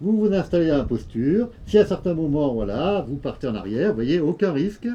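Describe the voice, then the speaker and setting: This man's voice is fairly high and dark and mellow in tone. He moves at a moderate pace with very wide pitch swings. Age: 60s. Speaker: yoga teacher. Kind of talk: tutorial. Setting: outdoors. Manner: hesitant, many fillers.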